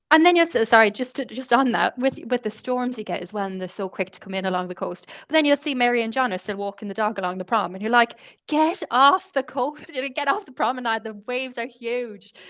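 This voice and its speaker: Her intonation is lively and her pitch is high. The woman talks at a very fast pace. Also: big swings in loudness. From Ireland, Galway. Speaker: communications specialist. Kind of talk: casual chat.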